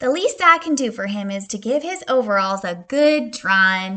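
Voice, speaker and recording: A put-on character voice moves at a moderate pace with very wide pitch swings. Its loudness rises and falls in big swings. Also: woman, fairly high pitch for a woman. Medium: read story.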